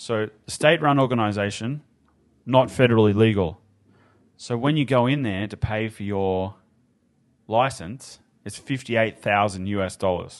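Against a quiet background, a man with a fairly low voice talks at a moderate pace with ordinary pitch variation. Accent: Australian. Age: 30s. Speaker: cannabis activist and entrepreneur. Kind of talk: casual chat. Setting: studio.

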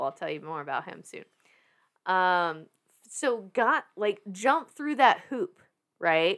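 Animated and medium-pitched, a woman with a slight Southern US accent swings her pitch very widely at a fairly slow pace. She leaves long, frequent pauses, and the recording is very clean with a silent background. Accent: slight Southern US twang. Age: 30s. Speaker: fitness industry worker and massage therapist. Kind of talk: casual chat. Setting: podcast studio. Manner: animated, excitable.

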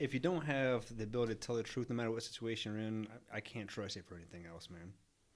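With an American accent, a man speaks in a plain, everyday voice. His pitch is medium and his pace fairly quick. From Texas. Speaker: army sergeant major. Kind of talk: casual interview.

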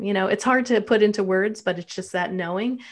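Using an unremarkable speaking voice, a woman talks in a medium pitch with ordinary pitch variation. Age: 40s. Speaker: mental health counselor and documentary producer. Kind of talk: interview.

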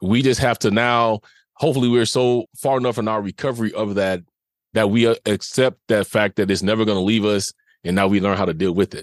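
A man's unremarkable speaking voice, fairly low in pitch and fairly even in intonation, at a fairly quick pace, with a quiet background and a dry, close sound without echo. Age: 50s. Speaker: abuse survivor and podcaster. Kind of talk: testimony.

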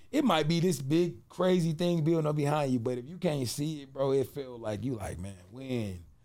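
A man with a dark, mellow tone speaks at a moderate pace, fairly high in pitch and with lively intonation. His loudness swings widely, and the room echo is audible. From Cleveland, Ohio (US Midwest). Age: 30s. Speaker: music producer and vegan pastry chef. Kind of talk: casual chat.

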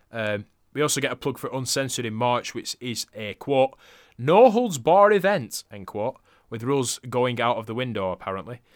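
An unremarkable speaking voice with lively intonation and big swings in loudness goes at a moderate pace, recorded dry and close with no echo in a very clean recording with a silent background. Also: man, medium pitch for a man. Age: 30s. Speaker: wrestling podcast co-host. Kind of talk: casual chat.

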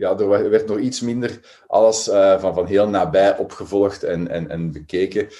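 Lively in intonation yet fairly slow in pace, a man speaks with a dark, mellow tone. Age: 40s. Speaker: psychology professor. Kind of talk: interview. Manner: halting, repeats words.

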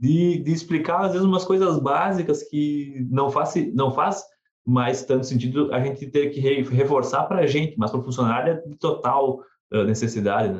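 A man's voice sits fairly high in pitch and sounds somewhat breathy. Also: ordinary pitch variation, moderate pace. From southern Brazil. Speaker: podcast host. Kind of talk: interview.

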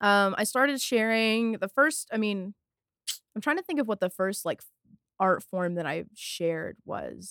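An unremarkable speaking voice from a woman with an American accent, medium pitch, moderate pace and lively intonation, dry and close with no echo on a very clean recording with a silent background. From rural North Texas near Fort Worth. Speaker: music journalist and poet. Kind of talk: casual interview.

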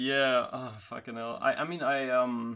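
A man with a fairly high pitch and a German accent. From Germany. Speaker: podcast guest, hobby voice actor. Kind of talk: casual chat.

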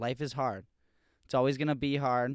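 A man speaks in a plain, everyday voice at a medium pitch, with fairly even intonation. The sound is dry and close with no echo, in a very clean recording with a silent background. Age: 20s. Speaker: podcast co-host. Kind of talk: casual chat.

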